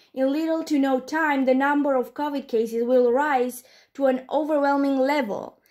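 On a very clean recording with a silent background, a woman with a non-native accent speaks at a high pitch with monotone, flat intonation. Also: moderate pace. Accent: non-native English speaker. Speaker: commentary youtuber. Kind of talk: commentary response video.

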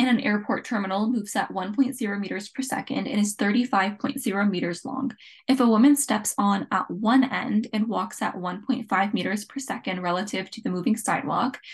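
A woman's fairly high, somewhat breathy voice at a fairly quick pace, with ordinary pitch variation. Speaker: physics tutor. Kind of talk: tutorial.

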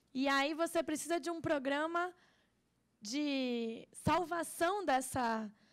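A woman's high-pitched, energetic voice with lively intonation against a quiet background. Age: 20s. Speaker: student union leader; panelist. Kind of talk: political speech. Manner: speaks standing, energetic. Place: hall. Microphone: handheld.

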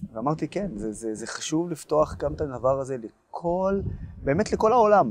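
Lively intonation over light background noise, with a dry sound and no echo. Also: man. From Israel. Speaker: pro-Israel activist and blogger; interviewee, blogger. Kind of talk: interview. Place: garden. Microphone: lapel.

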